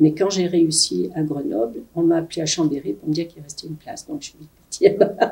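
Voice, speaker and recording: Fairly quick speech comes through in a somewhat breathy voice. Its tone is dark and mellow. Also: woman. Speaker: retired nurse. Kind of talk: interview testimony.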